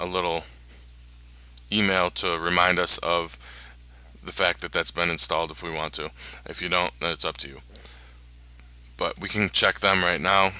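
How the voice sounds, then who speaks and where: Mumbling with vocal fry, a man speaks at a very deep, low pitch with ordinary pitch variation, a bright, sharp tone, big swings in loudness and long, frequent pauses. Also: moderate pace. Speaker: online marketing tutorial maker. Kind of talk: screen-recorded tutorial.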